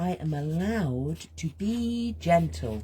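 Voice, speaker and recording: Somewhat breathy and dark, mellow in tone, a woman speaks in a very deep, low pitch with very wide pitch swings. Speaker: creative healing coach. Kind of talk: guided creative journaling session. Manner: soft-spoken, gentle; slow, halting.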